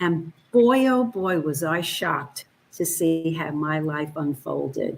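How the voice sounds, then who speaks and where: At a very slow pace, a woman with a fairly low pitch speaks with lively intonation. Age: 70s. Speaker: guest on a talk show. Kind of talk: casual chat.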